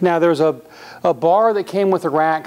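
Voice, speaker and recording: This man talks at a fairly quick pace with ordinary pitch variation. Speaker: presenter. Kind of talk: product demonstration. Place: gym. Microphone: lapel.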